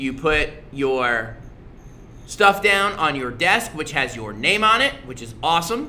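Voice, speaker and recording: A man speaks at a fairly slow pace in a fairly high, animated voice with very wide pitch swings and big swings in loudness. Room echo can be heard. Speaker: middle school social studies teacher. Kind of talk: casual livestream review for students.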